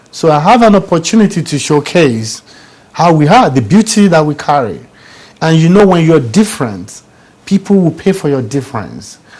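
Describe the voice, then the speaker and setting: A man with an African accent speaks at a fairly high pitch and a moderate pace. His pitch swings very widely. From Nigeria. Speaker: business coach and author. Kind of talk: studio interview.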